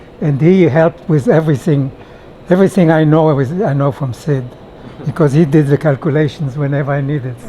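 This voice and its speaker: A man speaks at a fairly quick pace in a fairly high pitch, with ordinary pitch variation and noticeable background noise. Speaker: retired nuclear engineer. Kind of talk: casual interview chat. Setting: conference workshop.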